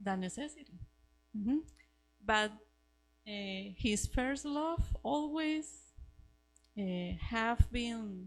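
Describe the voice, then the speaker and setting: Very slowly and with long, frequent pauses, a woman speaks at a fairly high pitch with lively intonation. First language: Spanish. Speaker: missionary. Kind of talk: testimony. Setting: church Sunday school class. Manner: halting, searching for words.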